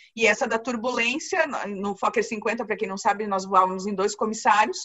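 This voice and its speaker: A woman with a fairly high pitch talks at a fairly quick pace. Her pitch varies in an ordinary way over noticeable background noise. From Paraná, Brazil. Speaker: flight attendant. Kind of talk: interview answer.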